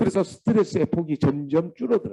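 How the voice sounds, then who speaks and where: At a fairly quick pace, a man speaks with lively intonation and a dark, mellow tone, the sound dry and close with no echo. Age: 60s. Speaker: vocational school lecturer. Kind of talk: lecture.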